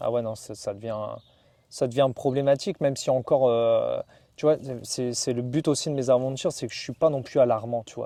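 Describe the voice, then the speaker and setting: A man speaks at a medium pitch. His loudness swings widely. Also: fairly quick pace. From northern France, Valenciennes area. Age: 30s. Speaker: traveller and adventurer. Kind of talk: interview. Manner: casual, hesitant with many fillers.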